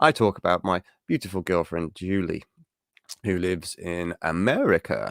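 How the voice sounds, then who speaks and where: An English accent, recorded dry and close with no echo, very clean against a silent background. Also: man. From England. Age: 30s. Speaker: geek news show host. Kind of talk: casual livestream chat. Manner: rambling, hesitant with fillers.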